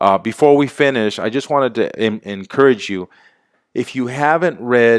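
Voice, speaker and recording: An animated man's voice at a moderate pace with ordinary pitch variation, in a dry, close sound with no echo and a very clean recording with a silent background. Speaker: network marketing distributor. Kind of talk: sales pitch.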